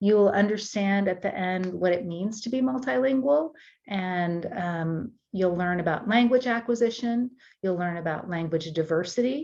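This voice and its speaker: A woman of medium pitch speaks at a moderate pace in an American accent. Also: lively intonation. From United States, German-speaking family. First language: German. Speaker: university tutoring course instructor. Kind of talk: course welcome talk.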